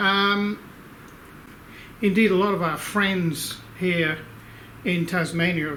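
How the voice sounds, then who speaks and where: Fairly even intonation with an Australian accent, plus audible room echo. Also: man. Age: 60s. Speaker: inventor and engineer. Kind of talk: casual video update to supporters. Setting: workshop. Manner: hesitant, many fillers.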